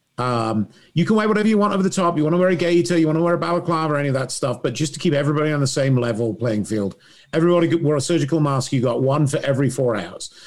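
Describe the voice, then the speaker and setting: A man with an English accent talks very fast in a fairly high, lively voice at a very even loudness. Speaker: lighting designer. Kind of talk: casual group chat. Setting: video call.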